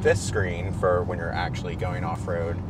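Against loud background noise, a man is heard in a dry sound with no echo. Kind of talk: product explanation to a host. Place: car.

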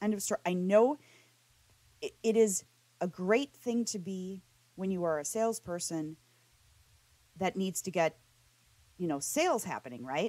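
Her voice is dry and close with no echo as a woman of medium pitch speaks at a moderate pace with lively intonation. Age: 40s. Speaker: podcast host. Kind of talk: interview conversation.

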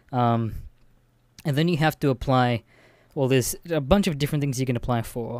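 A man's medium-pitched voice in an Australian accent, on a very clean recording with a silent background. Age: 20s. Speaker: podcaster. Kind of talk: casual monologue. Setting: bedroom.

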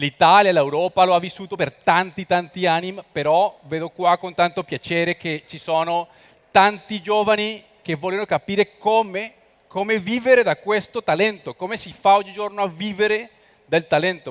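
Against a quiet background, a man talks at a moderate pace in a high voice with ordinary pitch variation. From Colombia. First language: Spanish (speaking Italian). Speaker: entrepreneur and international speaker; guest. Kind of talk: lecture. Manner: halting. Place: hall. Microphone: headset.

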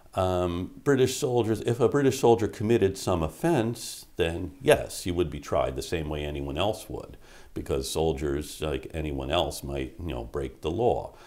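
A man speaks in a very deep, low pitch with a dark, mellow tone and vocal fry. His pitch swings very widely at a moderate pace, with hardly any pauses. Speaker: history professor interviewee. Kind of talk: interview answer. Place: office.

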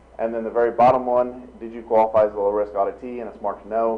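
A man rattles off his words at a very fast pace while noticeable background noise carries on. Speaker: auditor. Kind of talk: report presentation. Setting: school board meeting. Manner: many filler ums.

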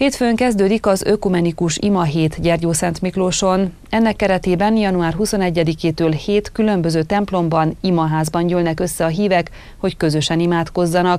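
Keeping a moderate pace with hardly any pauses, a woman speaks at a fairly low pitch in a dark, mellow tone, with fairly even intonation, very even loudness and a dry sound with no echo. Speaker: news anchor. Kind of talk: news reading. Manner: formal. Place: studio.

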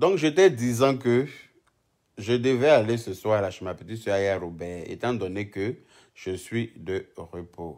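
Over a quiet background, a man speaks very slowly at a medium pitch. His intonation is lively and his loudness swings a lot. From Côte d'Ivoire. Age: 30s. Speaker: social media live streamer. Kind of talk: casual live stream chat. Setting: live video stream. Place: home room. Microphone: phone near.

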